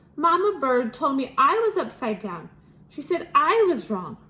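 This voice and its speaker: A woman does a squeaky, put-on character voice, high-pitched with very wide pitch swings, at a moderate pace. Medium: read story. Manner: squeaky, eager.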